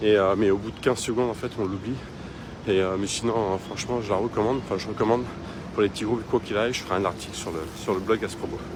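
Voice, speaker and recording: Over noticeable background noise, a man talks very fast at a fairly low pitch with fairly even intonation. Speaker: travel vlogger. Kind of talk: casual vlog tour. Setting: hostel room. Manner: halting, many fillers; soft-spoken.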